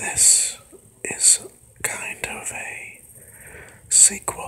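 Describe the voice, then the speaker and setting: The speaker whispers over noticeable background noise. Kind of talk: ASMR personal reflection talk. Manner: whispered.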